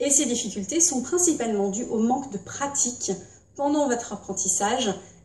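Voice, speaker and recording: Amid noticeable background noise and audible room echo, a woman talks at a moderate pace. Her pitch is fairly high and her intonation lively. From Britain. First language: English (speaking French). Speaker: English teacher. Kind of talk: tutorial.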